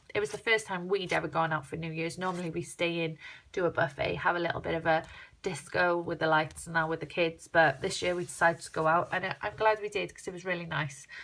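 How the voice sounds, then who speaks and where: This speaker has a South Wales accent and talks at a very fast pace. The intonation stays fairly even. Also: woman, fairly low pitch for a woman. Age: 30s. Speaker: crafter vlogger. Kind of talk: casual vlog walkthrough. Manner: chatty.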